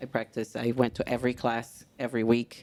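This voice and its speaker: A woman's very deep, low voice with a Portuguese accent at a moderate pace. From Brazil, São Gonçalo (Rio de Janeiro). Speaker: samba instructor. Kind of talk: casual interview chat. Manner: animated.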